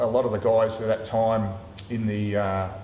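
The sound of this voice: A man with a fairly low pitch and a dark, mellow tone, speaking at a fairly slow pace amid audible room echo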